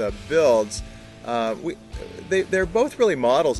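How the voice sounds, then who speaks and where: A man talks at a moderate pace in a dry sound with no echo while clear music plays behind him. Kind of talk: interview answer. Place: garden.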